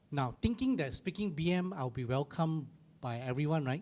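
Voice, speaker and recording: Lively intonation and a fairly quick pace mark this speech in a Malaysian accent. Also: man. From Malaysia, small village. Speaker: church panel guest. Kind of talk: panel discussion testimony. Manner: halting, many fillers.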